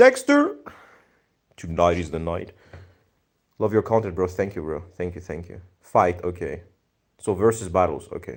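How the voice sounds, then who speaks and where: With a Greek accent, a man speaks at a moderate pace in a very deep, low voice with ordinary pitch variation. His loudness swings widely, and his pauses are long and frequent. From Greece. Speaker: livestreamer, anime video editor. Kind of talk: casual livestream chat reading viewer comments. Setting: live stream.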